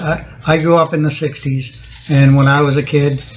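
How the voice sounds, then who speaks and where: There is noticeable background noise as a man speaks at a moderate pace. His fairly high voice stays in a flat monotone. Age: 60s. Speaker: interview guest. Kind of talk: casual interview. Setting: at the guest's house. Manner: halting, many restarts.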